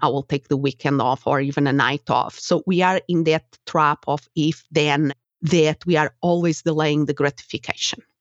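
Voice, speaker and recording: Speaking with a Portuguese accent, a woman with a very deep, low voice keeps a moderate pace and fairly even intonation. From Portugal. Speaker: coach and psychologist. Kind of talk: casual interview chat.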